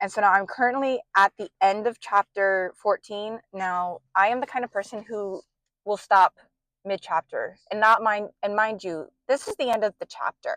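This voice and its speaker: A woman with a normal speaking voice talks at a medium pitch and a moderate pace with fairly even intonation, sounding dry and close with no echo. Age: 20s. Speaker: book vlogger. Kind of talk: casual vlog chat. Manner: casual with many fillers.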